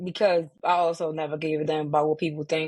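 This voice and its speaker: A woman speaks with a Baltimore accent. Her pace is moderate. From Baltimore, Maryland. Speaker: sports community founder. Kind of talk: podcast interview.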